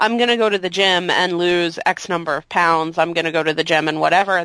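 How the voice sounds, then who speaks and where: Against a quiet background, a woman speaks at a fairly quick pace in a fairly low pitch with a bright, sharp tone, the sound dry and close with no echo. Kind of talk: casual chat.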